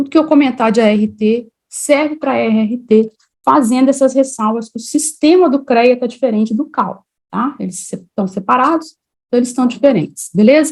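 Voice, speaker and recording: With a Minas Gerais accent, a woman speaks at a moderate pace in a high voice with ordinary pitch variation. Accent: Mineiro. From Minas Gerais, Brazil (Juiz de Fora). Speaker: civil engineer and teacher. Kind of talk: online lecture. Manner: casual, conversational.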